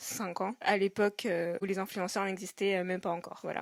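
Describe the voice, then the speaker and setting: Recorded very cleanly with a silent background and a dry, close sound with no echo, a woman speaks at a moderate pace in a monotone, flat way. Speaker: podcaster and blogger. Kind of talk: casual solo podcast chat. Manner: hesitant, many fillers.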